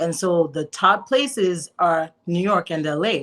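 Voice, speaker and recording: A woman speaks with a Zimbabwean accent. Her pitch is fairly low, with ordinary pitch variation. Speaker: filmmaker. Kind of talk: interview.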